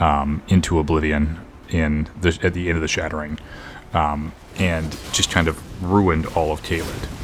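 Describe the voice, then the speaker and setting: A man's very deep, low voice in a monotone, flat intonation at a moderate pace, over noticeable background noise. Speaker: gaming youtuber. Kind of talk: casual commentary. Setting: home recording setup. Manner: quiet, subdued.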